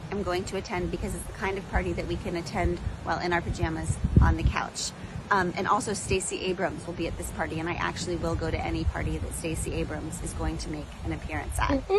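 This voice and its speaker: Over noticeable background noise, a woman speaks at a very fast pace, the sound dry with no echo. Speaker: podcast host making an appeal. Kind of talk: casual vlog chat. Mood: warm, grateful, upbeat. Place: garden. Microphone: phone near.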